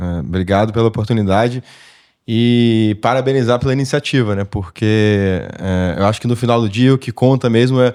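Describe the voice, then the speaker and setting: A man talks at a fairly quick pace and medium pitch with ordinary pitch variation, on a very clean recording with a silent background. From Petrópolis, Rio de Janeiro state, Brazil. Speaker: engineer, technical sales professional. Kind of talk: interview podcast. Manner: hesitant, many fillers.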